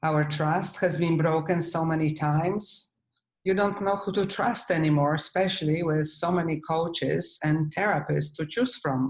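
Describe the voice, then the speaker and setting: Speaking at a moderate pace with very even loudness, a woman uses a fairly low pitch, ordinary pitch variation and a somewhat breathy sound. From Poland. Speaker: healing coach. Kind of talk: webinar presentation.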